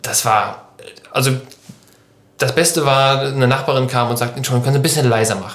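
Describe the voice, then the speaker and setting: A man's medium-pitched voice at a very fast pace, with long, frequent pauses, fairly even intonation and noticeable background noise. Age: 20s. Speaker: podcast host and band musician. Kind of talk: casual chat.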